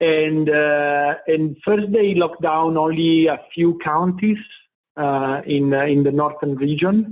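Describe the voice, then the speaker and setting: A man with an Italian accent talks at a fairly slow pace and a fairly high pitch, keeping his intonation fairly even. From Italy. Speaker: tech company CEO. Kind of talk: interview. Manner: halting, many fillers.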